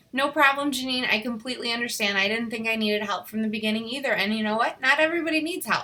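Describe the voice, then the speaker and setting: Noticeable background noise surrounds a woman speaking at a very fast pace. Her pitch is fairly high and varies in an ordinary way. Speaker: fitness coach. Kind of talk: team training call. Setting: conference call.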